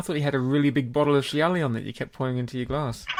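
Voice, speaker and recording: The man talks very fast in a fairly high voice, with noticeable noise behind him. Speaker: podcast host. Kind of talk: casual podcast chat.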